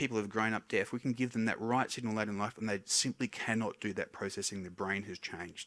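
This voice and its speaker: A man's very fast, mumbled, fairly low speech with fairly even intonation, in a very clean recording with a silent background. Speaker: hearing scientist. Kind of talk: public lecture. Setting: stage with audience. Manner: tends to mumble a little.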